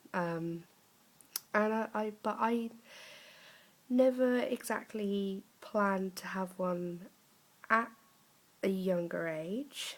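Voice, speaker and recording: In an English accent, a woman speaks at a very slow pace with long, frequent pauses and ordinary pitch variation. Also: medium pitch for a woman. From England, Norwich, Norfolk. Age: 20s. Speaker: vlogger, young mother. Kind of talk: casual vlog talk. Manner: halting, many fillers.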